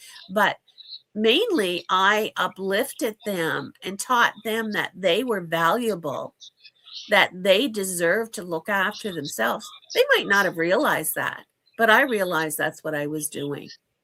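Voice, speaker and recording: Woman with a Canadian accent, an ordinary speaking voice, medium pitch, lively intonation and a fairly slow pace. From Canada. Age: 60s. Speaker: financial educator. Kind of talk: interview.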